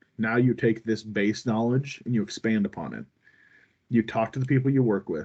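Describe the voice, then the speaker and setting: The intonation stays fairly even. The background is quiet. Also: man, medium pitch for a man. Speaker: cardiology instructor for nurses and residents. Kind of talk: online lecture. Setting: video call with screen sharing. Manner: fast.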